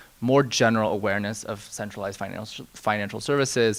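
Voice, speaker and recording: Here a man talks in a normal speaking voice, fairly low in pitch with fairly even intonation. The recording is very clean, with a silent background. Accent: American. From US, Silicon Valley. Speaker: fintech executive, panelist. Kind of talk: conference panel discussion.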